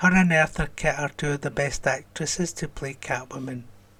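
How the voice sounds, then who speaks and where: A man with a Scottish accent at a moderate pace and fairly even intonation, in a very clean recording with a silent background. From Scotland. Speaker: YouTube reaction channel host. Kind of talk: reading and answering viewer comments.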